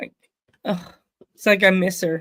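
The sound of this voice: This man speaks at a fairly slow pace in a high voice, his tone bright and sharp and his intonation fairly even.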